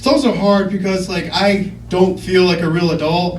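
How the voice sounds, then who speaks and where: Speaking at a fairly slow pace, a man with a high pitch is heard amid noticeable background noise and audible room echo. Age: 30s. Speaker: comedian. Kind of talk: stand-up.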